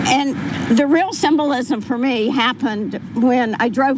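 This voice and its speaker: Speaking very slowly and at a high pitch, a woman is heard over noticeable background noise. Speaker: mother of fallen police officer. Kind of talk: memorial speech. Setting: public ceremony with microphone.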